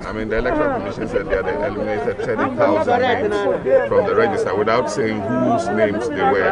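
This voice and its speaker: Over crowd noise in the background, a man talks at a very fast pace, his sound dry with no echo. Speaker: politician voting. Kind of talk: interview answer. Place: street. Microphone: handheld.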